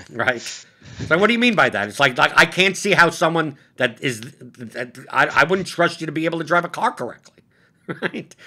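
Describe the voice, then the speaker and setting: A man with a fairly high pitch talks in an animated, bright and sharp tone with lively intonation over a quiet background. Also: moderate pace. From Brooklyn, New York; New York. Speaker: podcast host. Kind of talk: casual chat. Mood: animated, amused storytelling. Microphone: webcam.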